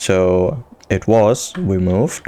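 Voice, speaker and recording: A man's fairly low voice with a non-native accent. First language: not English. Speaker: gaming youtuber. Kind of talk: casual gameplay commentary. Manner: halting.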